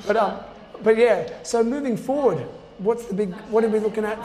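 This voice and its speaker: With an Australian accent, a man speaks in a high pitch and fairly even intonation against noticeable background noise. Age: 40s. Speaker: trail running podcast host. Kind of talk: interview.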